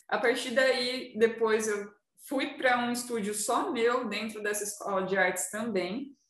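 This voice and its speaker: Speaking fairly slowly, this woman has an ordinary speaking voice. Her voice sits fairly high and its pitch varies in an ordinary way. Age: 20s. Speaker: tattoo artist. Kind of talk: casual chat.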